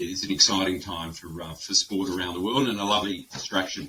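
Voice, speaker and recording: Over noticeable background noise, a man with an Australian accent talks in a very deep, low pitch with ordinary pitch variation. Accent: thick Australian. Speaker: webinar host, insolvency firm director. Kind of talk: webinar presentation. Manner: hesitant with many fillers.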